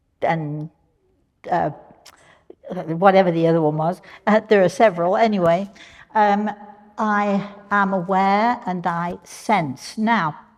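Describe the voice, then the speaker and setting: With a British accent, a woman speaks at a very slow pace with long, frequent pauses, a medium pitch and ordinary pitch variation. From England. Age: old. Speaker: spiritual medium. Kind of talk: live workshop talk to audience. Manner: casual, chatty with hesitations.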